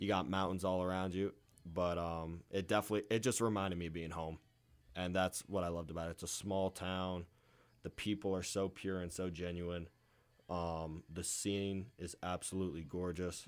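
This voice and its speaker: In an American accent, a man speaks with a very deep, low pitch and monotone, flat intonation. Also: moderate pace. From Pennsylvania (Moscow). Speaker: college baseball player. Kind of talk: casual interview.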